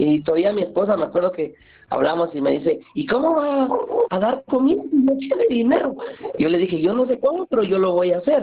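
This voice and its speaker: There is noticeable background noise as a man talks at a fairly quick pace in a high voice. His pitch swings very widely while his loudness stays very even. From Guatemala, Santa Lucía near Antigua. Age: 40s. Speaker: community food volunteer. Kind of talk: interview.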